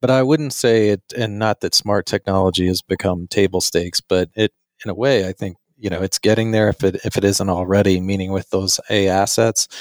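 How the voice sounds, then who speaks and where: Here is a man with a plain, everyday voice, pitched fairly low and speaking at a fairly quick pace. His intonation is fairly even, and the sound is dry and close with no echo. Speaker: podcast co-host. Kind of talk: casual podcast conversation.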